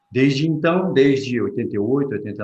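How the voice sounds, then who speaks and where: The pace is moderate, with ordinary pitch variation. Audible room echo can be heard. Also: man. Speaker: vascular surgeon. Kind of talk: Q&A talk.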